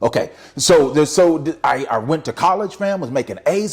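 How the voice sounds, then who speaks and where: This man speaks at a fairly quick pace in an animated tone. Vocal fry runs through his voice. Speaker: motivational speaker and author. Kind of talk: motivational talk to camera. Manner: halting, many restarts.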